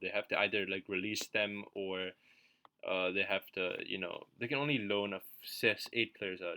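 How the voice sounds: Mumbling in a put-on character voice, a man talks at a moderate pace, fairly low in pitch with fairly even intonation.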